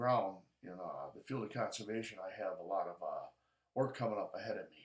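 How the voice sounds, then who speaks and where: Here a man talks at a fairly quick pace. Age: 60s. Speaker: outdoor show host. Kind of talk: casual vlog talk to camera. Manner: halting, many fillers and restarts.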